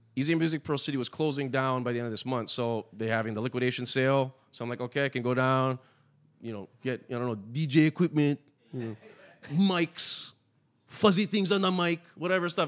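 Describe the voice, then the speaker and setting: Talking at a very fast pace, a man sounds animated, with ordinary pitch variation. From Hawaii. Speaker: podcast host and DJ. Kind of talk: casual chat.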